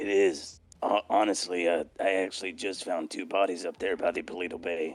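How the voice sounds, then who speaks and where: Raspy and fairly low-pitched, a man uses a put-on character voice at a moderate pace with hardly any pauses. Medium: game stream. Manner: gruff, indignant, swears casually.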